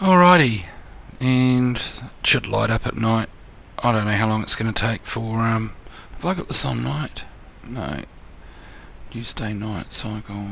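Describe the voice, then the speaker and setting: With long, frequent pauses, a man in a New Zealand accent speaks at a fairly slow pace and medium pitch, his pitch swinging very widely. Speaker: gaming tutorial youtuber. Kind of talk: tutorial. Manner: casual, hesitant with fillers.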